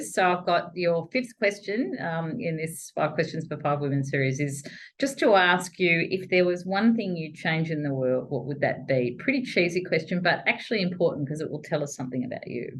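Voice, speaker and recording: With an Australian accent, a woman speaks at a moderate pace with hardly any pauses. Her fairly low, somewhat breathy voice has lively intonation. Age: 60s. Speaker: chief executive, interviewer. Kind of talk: interview conversation.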